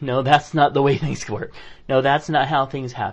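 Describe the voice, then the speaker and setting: A man with a somewhat breathy voice. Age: 40s. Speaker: podcast co-host. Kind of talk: casual chat.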